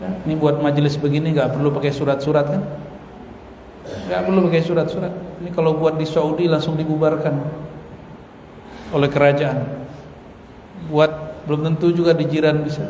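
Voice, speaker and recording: A man talks at a fairly quick pace and fairly high pitch, with fairly even intonation and long, frequent pauses. Audible room echo and noticeable background noise surround him. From Indonesia, West Sumatra (Minangkabau). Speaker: Islamic preacher. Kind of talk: religious lecture.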